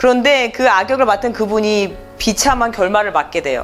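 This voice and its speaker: A woman keeps a moderate pace as noticeable background noise goes on behind her. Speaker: voice actor. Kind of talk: interview answer.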